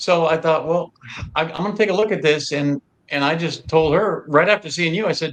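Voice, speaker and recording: This man talks at a fairly quick pace in a fairly high voice, his intonation fairly even. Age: 60s. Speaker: retired police officer, diet convert. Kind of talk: casual chat. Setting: livestream in a theater lobby. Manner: hushed, trying not to be loud.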